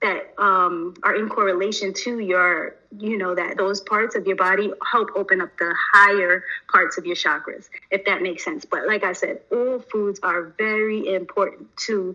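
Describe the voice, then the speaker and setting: A woman with a normal speaking voice and a medium pitch. She talks at a moderate pace with fairly even intonation. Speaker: spiritual wellness teacher. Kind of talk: livestream lesson.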